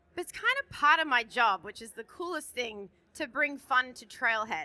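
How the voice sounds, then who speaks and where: A woman's raised, projected voice with an Australian accent, high in pitch, bright and sharp in tone, animated, with lively intonation at a moderate pace and a dry, close sound with no echo. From Australia, Sydney. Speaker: conference presenter. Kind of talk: conference presentation. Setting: stage with audience. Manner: loud.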